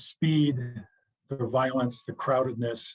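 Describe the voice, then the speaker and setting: This man talks in a somewhat breathy voice at medium pitch, his intonation monotone and flat. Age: 60s. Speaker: retired football player and chaplain. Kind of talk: interview. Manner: halting, many fillers.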